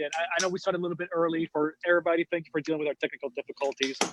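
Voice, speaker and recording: A very fast pace with a dry, close sound and no echo. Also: man. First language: not English. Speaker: podcast host. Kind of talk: casual chat.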